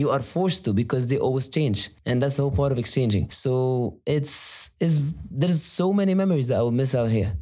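At a moderate pace and with hardly any pauses, a man speaks in a medium-pitched, somewhat breathy voice with lively intonation and very even loudness. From UAE, Egyptian family. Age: 20s. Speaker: university student, sports team member. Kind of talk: casual interview.

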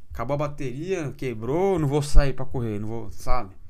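A man talks in an animated tone at a moderate pace. His pitch swings very widely. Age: 30s. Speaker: podcast host. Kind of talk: casual monologue.

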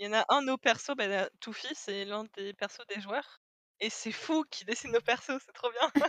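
Recorded with a dry, close sound and no echo, a woman with an unremarkable speaking voice talks at a fairly high pitch and a moderate pace, with ordinary pitch variation and big swings in loudness. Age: 20s. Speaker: illustration student and role-player. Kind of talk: casual interview chat.

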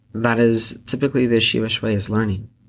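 A man with a Pacific Northwest accent, fairly low in pitch, at a moderate pace, on a very clean recording with a silent background. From Central Oregon, US. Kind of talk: solo podcast reflection on scripture.

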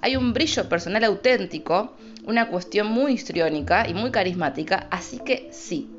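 A woman's medium-pitched voice with very wide pitch swings, against noticeable background noise. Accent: Rosario. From Argentina, Rosario. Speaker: astrologer, podcast host. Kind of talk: casual solo podcast. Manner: improvised, informal.

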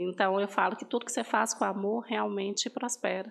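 A woman speaks at a moderate pace in a normal speaking voice, her pitch medium for a woman. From northern Minas Gerais, Brazil. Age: 30s. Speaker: pastry shop owner. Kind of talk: interview testimony.

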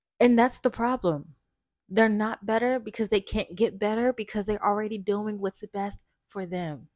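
At a moderate pace, a woman speaks with a fairly high pitch and fairly even intonation in a dry, close sound with no echo. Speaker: podcast host. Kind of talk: casual monologue. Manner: halting, stumbling.

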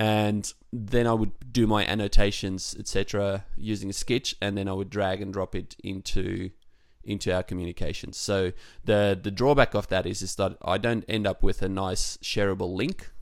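Speaking with an Australian accent, a man keeps a fairly low pitch and fairly even intonation. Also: moderate pace. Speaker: podcast co-host, web developer. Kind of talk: casual chat. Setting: remote call.

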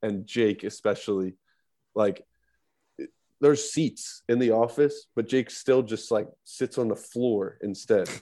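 Background quiet, a man with an American accent speaks at a medium pitch in a dark, mellow tone. He goes at a fairly slow pace with ordinary pitch variation. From central New Jersey. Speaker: sports social media manager. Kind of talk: casual chat.

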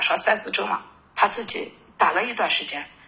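A woman with a northern Chinese accent at a fairly quick pace, with noticeable background noise. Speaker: caller seeking counseling. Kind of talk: call-in counseling talk. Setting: phone call. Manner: halting, many fillers.

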